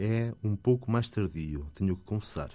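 A man with a medium-pitched voice and a dark, mellow tone speaks with lively intonation against a quiet background. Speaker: composer and music teacher. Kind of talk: interview. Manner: hesitant, many fillers.

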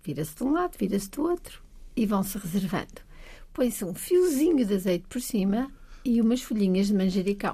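With a dark, mellow tone and some breathiness, a woman talks at medium pitch and a fairly quick pace, her pitch swinging very widely. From Portugal, Trás-os-Montes (Bragança). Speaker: science centre agency president. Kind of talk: casual chat.

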